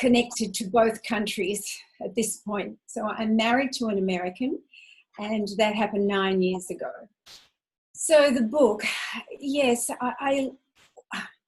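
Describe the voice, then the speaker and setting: A somewhat breathy woman with an Australian accent, fairly high in pitch with ordinary variation, at a fairly slow pace with long, frequent pauses. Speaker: money coach. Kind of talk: interview.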